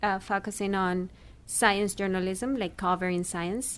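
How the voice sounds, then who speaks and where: A woman with a Spanish accent speaks at a moderate pace and medium pitch. Her intonation is fairly even, on a very clean recording with a silent background. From Chile. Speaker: actor and former radio journalist. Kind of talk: interview. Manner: hesitant, many fillers.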